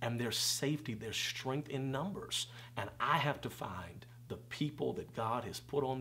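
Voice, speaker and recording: A man with an unremarkable speaking voice and a medium pitch talks at a moderate pace with lively intonation over light background noise. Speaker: preacher and conference founder. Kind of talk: casual interview. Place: home room.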